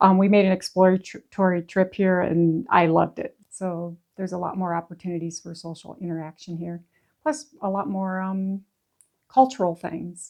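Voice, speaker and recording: Her loudness swings widely while her pitch variation stays ordinary. This woman speaks at a moderate pace and a medium pitch. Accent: American. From US Midwest, northeast Iowa. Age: 60s. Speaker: retiree. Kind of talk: casual interview. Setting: in her home. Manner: some hesitations.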